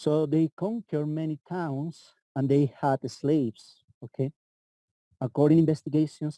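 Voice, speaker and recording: A man with an Andean accent, fairly high in pitch, dark and mellow in tone, at a moderate pace with fairly even intonation, the sound dry and close with no echo. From Peruvian Andes, south of Cusco. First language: Quechua. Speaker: tour guide. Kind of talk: live guided tour.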